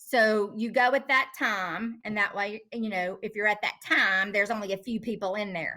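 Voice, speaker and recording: A woman's bright, sharp-toned voice with an Appalachian accent. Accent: Appalachian mountain. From North Carolina mountains. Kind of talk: casual chat.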